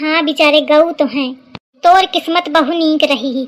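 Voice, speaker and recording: At a moderate pace, a woman uses a high-pitched cartoonish character voice. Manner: gossipy, teasing.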